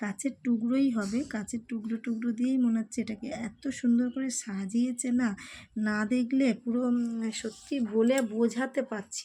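In a very clean recording with a silent background, a woman with a fairly high pitch and a dark, mellow tone speaks with fairly even intonation. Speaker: cooking and vlog YouTuber. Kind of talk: travel vlog narration. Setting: outdoors at crowded festival pandals.

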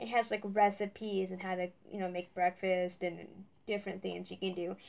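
The speaker is a woman, and her pace is moderate. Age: 20s. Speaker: YouTuber doing product unboxing. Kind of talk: casual unboxing vlog. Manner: halting, many fillers. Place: home room. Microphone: webcam.

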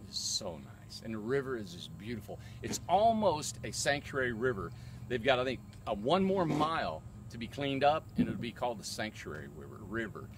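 With noticeable background noise, a man talks at a fairly quick pace in a dry sound with no echo, his voice carrying vocal fry, very wide pitch swings and big swings in loudness. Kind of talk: casual vlog chat. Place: open country. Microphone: phone near.

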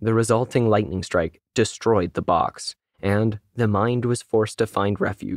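Plain reading aloud with fairly even intonation comes through against a quiet background.

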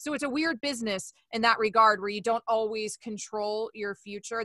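Against a quiet background, a woman with an American accent speaks fairly quickly in a bright, sharp tone with a dry sound and no echo. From Florida, US South. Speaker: sports radio host. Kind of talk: casual interview. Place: home room. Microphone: studio mic.

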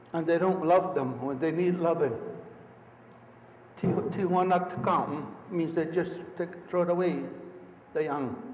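Over noticeable background noise, a man with a high voice speaks at a very slow pace with ordinary pitch variation. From Akwesasne, Mohawk Nation. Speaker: Mohawk elder, traditional teacher. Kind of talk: storytelling talk to an audience.

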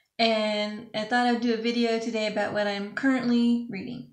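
A woman's voice carries audible room echo over a quiet background. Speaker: book vlogger. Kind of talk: casual vlog chat. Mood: relaxed, friendly. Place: home room. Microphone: webcam.

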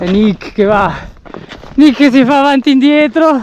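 A man's voice sounds dry, with no echo. Noticeable background noise runs underneath. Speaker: outdoor vlogger. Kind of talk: casual vlog chat. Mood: cheerful, joking. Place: forest. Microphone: phone near.

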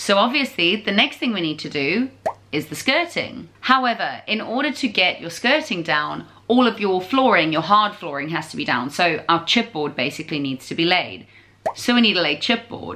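Light background noise sits behind speech at a moderate pace. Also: woman. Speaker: home renovation vlogger. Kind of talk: casual vlog chat. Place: home room. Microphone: phone near.

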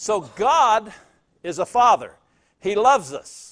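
Over a quiet background, a man speaks at a high pitch. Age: 60s. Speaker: pastor. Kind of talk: sermon. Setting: church. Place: church.

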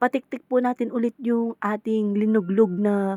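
Recorded with a dry, close sound and no echo, a woman speaks at a moderate pace in an unremarkable speaking voice. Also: very clean recording, silent background. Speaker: home food seller. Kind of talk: casual vlog narration to viewers. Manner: polite, chatty.

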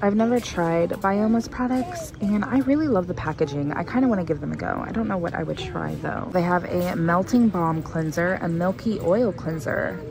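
Clear music plays in the background while a woman speaks with hardly any pauses. Her voice is fairly low-pitched and the sound is dry with no echo. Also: moderate pace. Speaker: shopper vlogger. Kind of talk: casual vlog chat. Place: shop.

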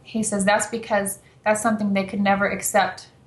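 Fairly quick speech with audible room echo. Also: woman. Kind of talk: interview answer. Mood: relaxed, explanatory. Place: home room. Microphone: video call.

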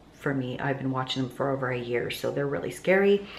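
A woman speaks in a very deep, low voice with ordinary pitch variation. There is audible room echo and light background noise. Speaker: lifestyle vlogger. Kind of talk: casual vlog chat. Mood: chatty, lightly laughing. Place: home room. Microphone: phone near.

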